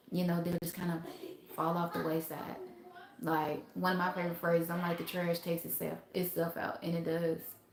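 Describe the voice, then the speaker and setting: Against noticeable background noise, a woman with an American accent talks at a fairly quick pace in a fairly low pitch. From US South, Mississippi. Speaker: spiritual self-help livestreamer. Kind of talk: casual livestream talk. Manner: animated.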